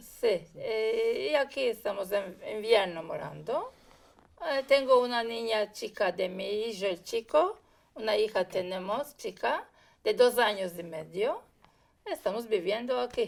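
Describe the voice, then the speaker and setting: A woman talks at a very slow pace. Her pitch is fairly high and her intonation lively. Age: 50s. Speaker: interviewee. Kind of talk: interview.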